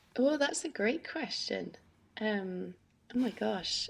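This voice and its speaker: A woman speaks with a Scottish accent. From Scotland, Scottish Borders (Peebles). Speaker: harpist and singer. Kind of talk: interview. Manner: talkative, hesitant with fillers.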